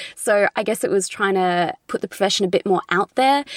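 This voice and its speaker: In a dry, close sound with no echo, a woman with an Australian accent speaks at a medium pitch and a moderate pace. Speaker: conservator and YouTuber. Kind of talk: interview.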